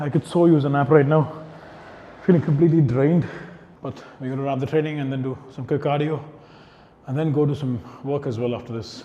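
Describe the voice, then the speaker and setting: Despite long, frequent pauses, the speech runs at a fairly quick pace with fairly even intonation and audible room echo. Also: man, fairly high pitch for a man. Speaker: fitness vlogger and coach. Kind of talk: vlog monologue. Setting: gym.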